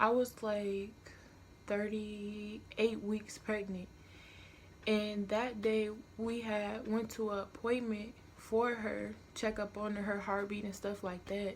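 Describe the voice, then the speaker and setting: Quiet and fairly high-pitched, a woman speaks at a very slow pace. Her intonation is monotone and flat. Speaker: vlogger. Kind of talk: storytime vlog. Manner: casual, filler-heavy.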